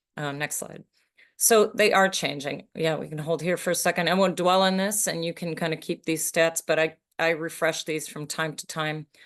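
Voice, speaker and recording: A woman's unremarkable speaking voice, fairly low in pitch, with ordinary pitch variation, a moderate pace and a quiet background. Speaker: sustainability sponsorship consultant. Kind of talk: conference presentation.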